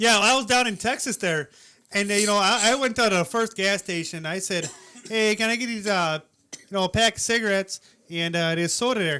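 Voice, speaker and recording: In an Upper Midwest accent, the speaker uses a raised, projected voice with ordinary pitch variation. The pace is fairly quick. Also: man, high pitch for a man. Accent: Upper Midwest (Wisconsin). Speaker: podcast co-host. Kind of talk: casual chat.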